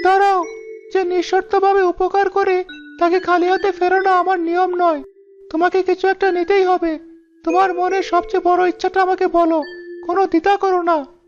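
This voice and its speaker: This is a cartoonish character voice at an extremely high pitch. It keeps a monotone, flat intonation at a moderate pace. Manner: gentle, gracious.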